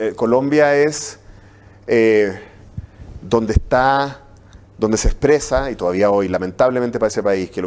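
The speaker is a man with a medium-pitched voice. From Chile. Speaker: university professor. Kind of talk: interview. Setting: studio. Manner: halting.

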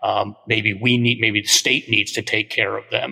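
A man speaks in a monotone with flat intonation at a moderate pace. Noticeable background noise is present. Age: 60s. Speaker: art history professor. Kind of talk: interview.

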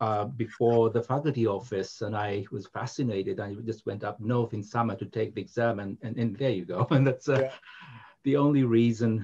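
Somewhat breathy and dark, mellow in tone, a man with a Japanese accent talks with ordinary pitch variation. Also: medium pitch for a man, moderate pace. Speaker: English literature professor. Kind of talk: casual academic conversation.

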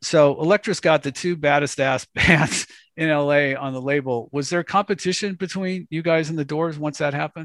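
A man with an American accent speaks in an ordinary speaking voice at a fairly high pitch and moderate pace, with hardly any pauses and fairly even intonation. The sound is dry and close with no echo, against a quiet background. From Los Angeles. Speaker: podcast host. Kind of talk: interview.

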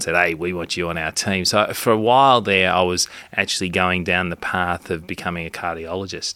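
On a very clean recording with a silent background, a man with an Australian accent speaks at a very deep, low pitch in a bright, sharp tone, with fairly even intonation. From Australia, Melbourne. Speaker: obstetrician, podcast co-host. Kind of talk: casual chat. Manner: halting, repeats words.

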